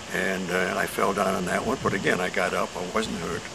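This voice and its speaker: Room echo is audible and background noise is noticeable. The man's intonation stays fairly even. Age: 80s+. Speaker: class participant. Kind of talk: testimony. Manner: halting.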